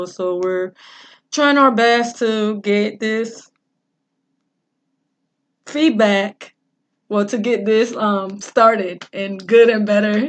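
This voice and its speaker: A woman mumbles in a put-on character voice at a fairly high pitch with fairly even intonation. She goes at a very slow pace, with long, frequent pauses. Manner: mumbling.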